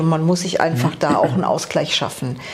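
This woman's voice sits fairly low in pitch. Noticeable background noise runs under it. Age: 50s. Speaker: office clerk, coaching client. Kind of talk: interview.

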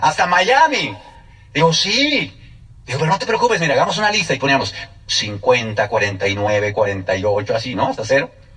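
With very wide pitch swings, a man keeps a moderate pace as noticeable background noise continues around him. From State of Mexico, Mexico. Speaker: network marketing speaker. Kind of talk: testimony.

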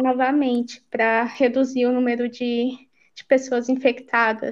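Against a quiet background, a woman speaks at a fairly slow pace in a high voice. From Brazil, Goiás (Pires do Rio, Goiânia). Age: 30s. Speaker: au pair living abroad. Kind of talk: casual interview chat.

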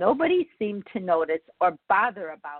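A woman's medium-pitched voice with big pitch swings, at a fairly slow pace, in a dry, close sound with no echo.

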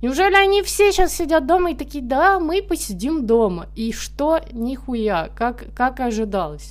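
A woman with a high pitch talks at a fairly slow pace with very wide pitch swings and hardly any pauses. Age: 20s. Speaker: podcast host. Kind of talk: casual monologue. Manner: animated.

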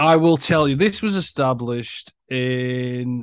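A man with an English accent, very slow pace and ordinary pitch variation. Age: 40s. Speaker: podcast co-host. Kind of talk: casual chat.

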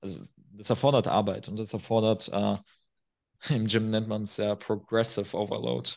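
The speaker has a non-native accent and an animated tone, moving at a moderate pace with vocal fry. Long, frequent pauses break up the speech. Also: man. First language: not German (speaking German). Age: 20s. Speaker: performance and men's coach. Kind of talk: podcast interview.

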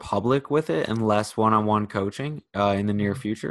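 Recorded very cleanly against a silent background, a man with a normal speaking voice talks at a moderate pace and a fairly low pitch. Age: 20s. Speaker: podcast host. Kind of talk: casual interview.

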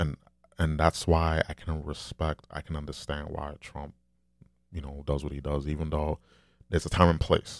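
Soft-spoken delivery at a moderate pace, little pitch movement, on a very clean recording with a silent background. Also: man, extremely low pitch for a man.

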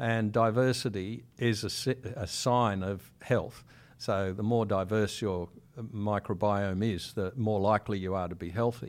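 A man with an Australian accent, a fairly low pitch, fairly even intonation and a fairly slow pace, on a very clean recording with a silent background. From Sydney, Australia. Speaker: microbiologist. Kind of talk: interview.

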